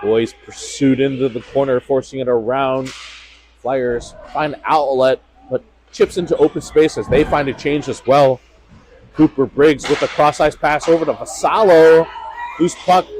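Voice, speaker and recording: Background noise is noticeable as a man speaks fairly slowly. His pitch is fairly high, and his intonation is fairly even. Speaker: amateur play-by-play commentator for youth hockey. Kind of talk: live commentary. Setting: cold ice rink.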